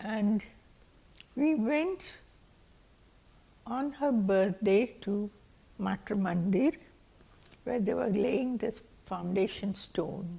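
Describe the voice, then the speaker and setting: A woman's very slow, somewhat breathy voice at medium pitch, dark and mellow in tone. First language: not English. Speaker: community elder. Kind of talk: oral history. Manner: halting.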